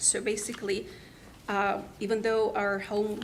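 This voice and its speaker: A woman with a fairly high voice is heard through noticeable background noise and audible room echo. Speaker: taxpayer appealing property value. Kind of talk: public hearing testimony. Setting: county board meeting. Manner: halting, many fillers and restarts.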